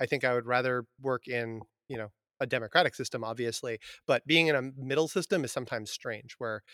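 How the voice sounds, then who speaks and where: Speaking at a fairly quick pace with an American accent, a man has an unremarkable speaking voice and ordinary pitch variation. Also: dry, close sound with no echo. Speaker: podcast host and biology teacher. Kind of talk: casual interview chat. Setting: remote recording.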